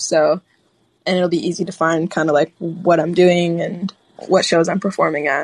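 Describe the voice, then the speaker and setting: In a Chicago accent, a woman speaks at a fairly low pitch with a dry, close sound and no echo. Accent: Chicago American. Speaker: singer-songwriter. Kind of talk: casual interview. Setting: phone call. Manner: hesitant, many fillers.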